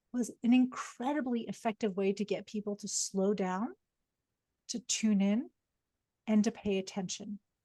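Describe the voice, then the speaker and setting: Somewhat breathy and dark, mellow in tone, a woman speaks with fairly even intonation and long, frequent pauses, the sound dry and close with no echo against a quiet background. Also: fairly high pitch for a woman, moderate pace. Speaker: psychologist and executive coach. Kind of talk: webinar lecture.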